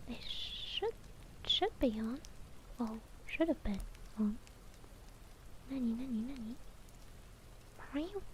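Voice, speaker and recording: Whispering at a very slow pace, a woman leaves long, frequent pauses. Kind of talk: casual chat with live viewers. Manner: whispered.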